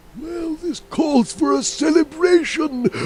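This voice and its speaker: A man puts on a character voice. It sits at an extremely high pitch and moves at a fairly slow pace. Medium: video game.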